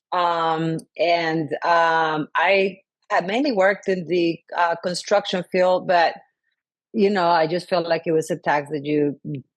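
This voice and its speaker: A woman speaks very slowly in a Spanish accent, her pitch fairly low. Her intonation stays fairly even over a quiet background. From Colombia. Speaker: sustainability consultant and city council member. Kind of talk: podcast interview. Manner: halting, many fillers.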